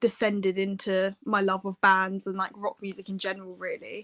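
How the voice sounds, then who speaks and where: A woman speaks in a medium pitch with a bright, sharp tone and monotone, flat intonation. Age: 20s. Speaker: musician, songwriter. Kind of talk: interview.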